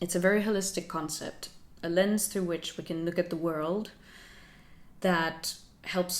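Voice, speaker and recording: A woman with a Finnish accent talks at a moderate pace, her fairly low pitch carried by fairly even intonation. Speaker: lifestyle YouTuber. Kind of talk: vlog talk to camera.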